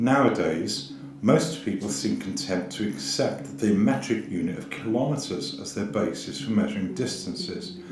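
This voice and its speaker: Over noticeable background noise and audible room echo, a man with a fairly low pitch talks at a moderate pace with hardly any pauses and very wide pitch swings. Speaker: documentary narrator. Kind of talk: scripted narration.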